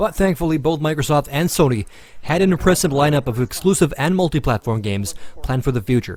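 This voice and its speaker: A man talks at a very fast pace, his pitch fairly high. He sounds somewhat breathy, with lively intonation. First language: Finnish. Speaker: gaming video reviewer. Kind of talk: scripted narration.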